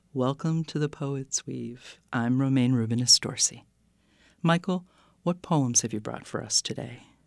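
The speech moves at a fairly slow pace. The recording is very clean, with a silent background. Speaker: radio poetry show host. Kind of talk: scripted introduction and sign-off. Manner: formal, announcer-like.

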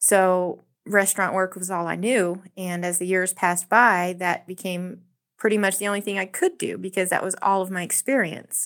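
At a moderate pace, a woman with an American accent speaks in a monotone, flat way at medium pitch on a very clean recording with a silent background. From South Texas. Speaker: restaurant server and labor organizer. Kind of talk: radio interview.

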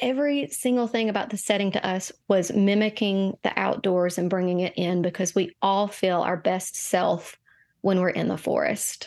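A woman speaks at a moderate pace and medium pitch against a quiet background. Hers is a plain, everyday voice. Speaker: tea shop co-owner and herbalist. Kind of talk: casual interview. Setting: studio.

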